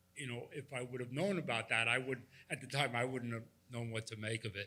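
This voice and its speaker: Speaking at a very fast pace in a New York accent, a man has a medium pitch, ordinary pitch variation and a bright, sharp tone. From New York City, Manhattan. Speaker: audience member. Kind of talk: audience question.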